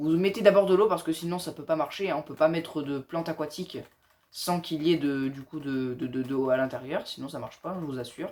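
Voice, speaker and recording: A man talks at a fairly quick pace and a fairly high pitch, with ordinary pitch variation and big swings in loudness. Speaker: gaming tutorial youtuber. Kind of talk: tutorial. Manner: fast.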